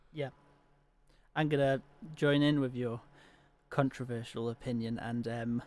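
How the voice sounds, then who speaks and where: A man speaks at medium pitch and a fairly slow pace. His intonation is monotone and flat, with long, frequent pauses. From Wales. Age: 20s. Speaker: podcast guest. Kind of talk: casual chat.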